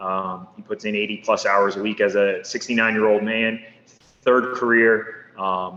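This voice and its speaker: With an American accent, a man speaks at a moderate pace and medium pitch, his intonation fairly even, over noticeable background noise. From northeast Pennsylvania (Poconos). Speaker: small business owner. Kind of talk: podcast interview. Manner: casual, conversational with fillers.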